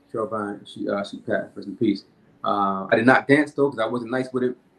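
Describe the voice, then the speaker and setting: Here a man talks at a fairly quick pace. His medium-pitched voice keeps a fairly even intonation. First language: not English. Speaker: filmmaker and hypnotist. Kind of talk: interview. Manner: halting.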